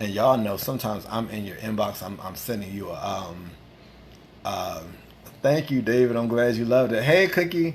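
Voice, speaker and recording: Someone with an American accent speaks at a fairly quick pace, leaving long, frequent pauses. Audible room echo surrounds the voice. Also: man, medium pitch for a man, lively intonation. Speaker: livestream host. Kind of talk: casual chat. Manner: animated.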